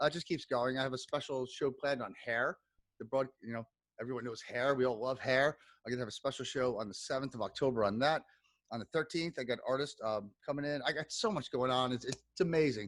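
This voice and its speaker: Energetic and animated, a man with a medium-pitched voice talks at a very fast pace with ordinary pitch variation. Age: 40s. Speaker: podcast host. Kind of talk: casual chat. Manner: energetic, animated.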